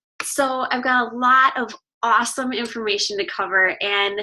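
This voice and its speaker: A woman talks at a moderate pace in a raised, projected voice with a bright, sharp tone. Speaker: fitness coach. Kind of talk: webinar presentation. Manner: casual, chatty.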